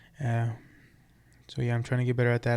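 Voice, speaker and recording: A man speaks at a medium pitch. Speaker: construction business owner and podcaster. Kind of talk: casual monologue vlog. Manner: halting, many fillers.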